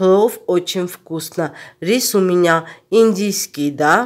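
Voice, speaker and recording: Speaking very slowly with an Armenian accent, a woman has a fairly low pitch and ordinary pitch variation. The recording is very clean, with a silent background. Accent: Armenian accent in Russian. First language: Armenian (speaking Russian). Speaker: cooking vlogger. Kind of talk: cooking tutorial.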